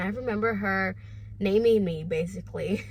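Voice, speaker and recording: Somewhat breathy and fairly even in intonation, a woman speaks at a moderate pace with audible room echo. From Honduras. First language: Spanish. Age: 20s. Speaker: online business vlogger. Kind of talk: personal vlog storytelling. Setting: home, no studio. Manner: casual, with fillers.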